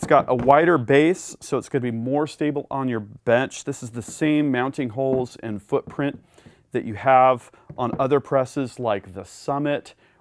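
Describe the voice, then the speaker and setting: At a moderate pace and with fairly even intonation, the speech has a dry sound with no echo and light background noise. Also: man. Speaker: reloading channel host. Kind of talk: product overview tutorial. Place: workshop. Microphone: lapel.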